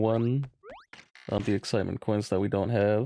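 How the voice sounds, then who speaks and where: With music in the background, a man speaks at a fairly low pitch in a monotone, flat intonation. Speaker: gaming streamer. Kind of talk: live stream commentary. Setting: live stream.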